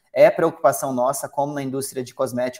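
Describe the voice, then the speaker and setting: A man's normal speaking voice at medium pitch, moving at a fairly quick pace. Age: 30s. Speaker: founder of a vegan footwear brand, trained airline pilot. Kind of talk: interview.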